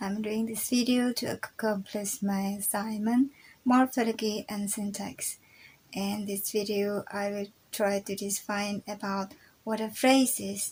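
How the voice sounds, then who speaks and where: A woman with an Indonesian accent speaks at a fairly slow pace, her fairly high pitch carrying fairly even intonation. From Indonesia, Java. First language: Javanese. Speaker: university student. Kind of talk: recorded class presentation. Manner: halting.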